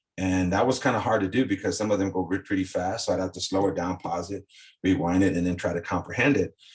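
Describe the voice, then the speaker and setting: A man's very deep, low, somewhat breathy voice at a very fast pace with ordinary pitch variation. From South Texas. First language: Spanish. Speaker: former coaching client, ex-fighter. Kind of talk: casual interview chat. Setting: podcast interview.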